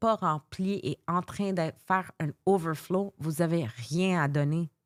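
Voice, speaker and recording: Very slowly, a woman speaks at a fairly low pitch with ordinary pitch variation, in a very clean recording with a silent background and a dry, close sound with no echo. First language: English (speaking French). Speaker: life coach. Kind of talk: interview. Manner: halting.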